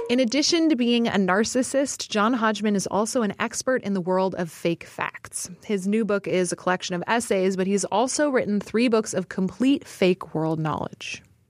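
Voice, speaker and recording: With hardly any pauses, a woman talks at a moderate pace in a normal speaking voice, her pitch medium and her intonation lively, the sound dry and close with no echo. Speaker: podcast co-host. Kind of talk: casual interview chat. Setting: studio.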